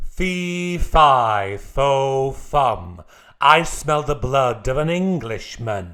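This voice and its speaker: A put-on character voice moves at a very slow pace. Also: man, medium pitch for a man. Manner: booming, shouting.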